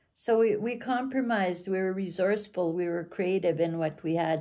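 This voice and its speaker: On a very clean recording with a silent background, a woman speaks with lively intonation. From northern Alberta, Canada (Cree community). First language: Cree. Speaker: storyteller. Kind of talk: personal reminiscence monologue. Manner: halting, with many fillers.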